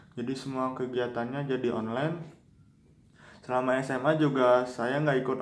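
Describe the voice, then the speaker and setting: A man speaks at a moderate pace in a flat monotone, his medium-pitched voice carrying audible room echo. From West Java (Bandung area), born in Yogyakarta. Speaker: university student. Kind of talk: personal life story for a class assignment. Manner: casual, conversational.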